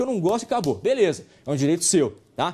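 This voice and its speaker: Talking at a fairly quick pace, a man has a high voice with very wide pitch swings. His tone is dark and mellow. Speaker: university lecturer. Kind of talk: lecture.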